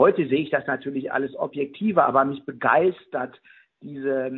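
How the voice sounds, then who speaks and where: This man has an unremarkable speaking voice and a fairly high pitch. He talks at a moderate pace with ordinary pitch variation. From Ruhr area, Germany. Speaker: museum director. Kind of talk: interview.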